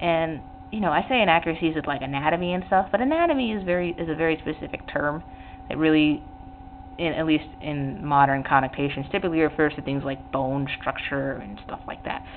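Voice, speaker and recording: A woman with a very deep, low pitch talks at a very fast pace over noticeable background noise. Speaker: artist teaching drawing on own channel. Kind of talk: tutorial. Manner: hesitant, many fillers and restarts.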